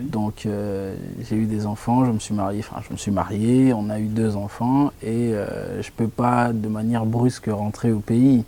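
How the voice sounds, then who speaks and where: A man with a fairly low pitch and a dark, mellow tone, fairly slow and monotone, with flat intonation. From DR Congo. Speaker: jurist and preacher. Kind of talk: interview.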